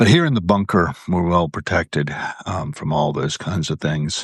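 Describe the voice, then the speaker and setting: The sound is dry and close, with no echo. A man with an American accent speaks at a moderate pace. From US South, Williamsburg, Virginia. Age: 60s. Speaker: live video host. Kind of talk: casual live-stream monologue. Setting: home live video indoors. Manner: rambling with fillers.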